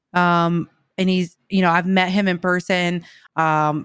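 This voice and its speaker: A woman with an American accent speaks at a fairly low pitch in a monotone, flat intonation. The recording is very clean, with a silent background. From US South. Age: 30s. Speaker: Twitch streamer. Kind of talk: casual interview. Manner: hesitant, many fillers.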